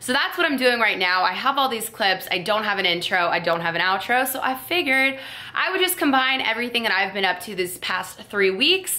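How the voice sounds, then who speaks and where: Over noticeable background noise, a woman with a fairly high pitch and very wide pitch swings talks at a fairly quick pace with hardly any pauses. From South Florida. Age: 20s. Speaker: YouTube vlogger. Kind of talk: casual talk to camera.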